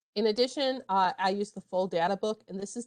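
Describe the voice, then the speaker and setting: This woman has an unremarkable speaking voice at a medium pitch, with ordinary pitch variation. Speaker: librarian. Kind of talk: tutorial. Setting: online workshop.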